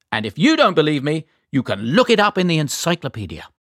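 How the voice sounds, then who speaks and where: A man with a British accent speaks in a warm, enthusiastic tone with very wide pitch swings. The sound is dry and close with no echo, in a very clean recording with a silent background. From Great Britain. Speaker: quiz show host. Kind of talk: kids quiz show hosting, friendly and encouraging. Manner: warm, enthusiastic, clear.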